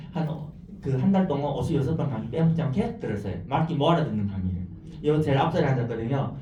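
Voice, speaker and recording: Audible room echo and noticeable background noise fill this clip. A man talks at a very fast pace with lively intonation. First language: not Korean; learned Korean as adult (speaking Korean). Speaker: network marketing businessperson. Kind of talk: business presentation. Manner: animated.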